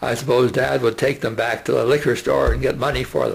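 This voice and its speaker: A man's somewhat breathy voice. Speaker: retired teacher. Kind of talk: oral history reminiscence. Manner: halting, many fillers.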